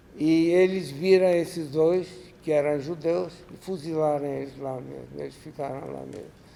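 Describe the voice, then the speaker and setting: A man talks at a very slow pace, with audible echo in the room. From Ukraine. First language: Russian (speaking Portuguese). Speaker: Holocaust survivor. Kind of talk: lecture. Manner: halting.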